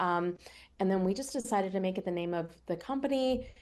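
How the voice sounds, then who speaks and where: A normal speaking voice: a woman of medium pitch with an American accent, lively intonation and a fairly quick pace. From US Northeast, Pennsylvania near Philadelphia. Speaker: cookbook author and TV cooking show host. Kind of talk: radio interview.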